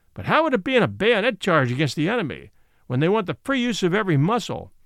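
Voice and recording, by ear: A passage is read aloud in a natural voice.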